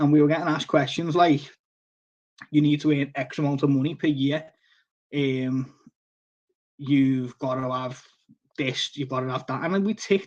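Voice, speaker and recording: With a strong Liverpool accent, a man talks at a moderate pace in a fairly high pitch. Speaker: koi fish seller and live-stream host. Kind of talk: casual live-stream chat. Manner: halting, many fillers and restarts.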